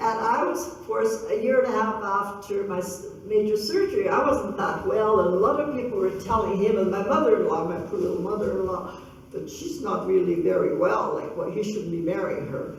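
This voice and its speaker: A woman at a moderate pace amid noticeable background noise and audible room echo. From western Canada, Grand Forks BC. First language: Russian. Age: 70s. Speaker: local elder and community speaker. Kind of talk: public talk with Q&A. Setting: gallery event with audience. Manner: halting.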